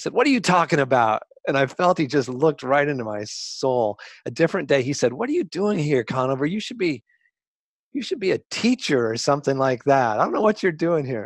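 A man with an American accent uses a normal speaking voice, fairly high in pitch, with lively intonation at a fairly quick pace. The sound is dry and close with no echo, over a quiet background. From Colorado. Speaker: journalist and professor. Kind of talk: interview.

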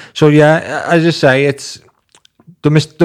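A man with a Liverpool accent. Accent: Scouse (Liverpool). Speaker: podcast host. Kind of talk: casual chat.

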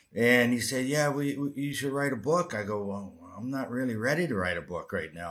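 Delivered at a moderate pace in a Canadian accent, an ordinary speaking voice shows ordinary pitch variation. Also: man. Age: 60s. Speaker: retired hockey player. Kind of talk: interview.

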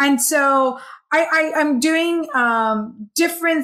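With ordinary shifts in pitch, a woman talks in an animated tone. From Hong Kong. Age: 40s. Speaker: happiness coach and healer. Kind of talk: casual chat.

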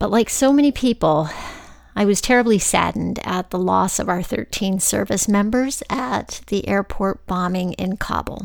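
A plain, everyday voice with an American accent, moderate pace and ordinary pitch variation. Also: woman, medium pitch for a woman. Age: 50s. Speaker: podcast host. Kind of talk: scripted narration; casual chat.

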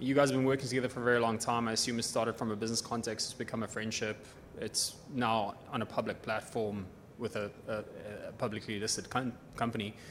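A man's medium-pitched voice at a very fast pace, flat and monotone, with noticeable background noise. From South Africa. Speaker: shareholder asking questions. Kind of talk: audience question.

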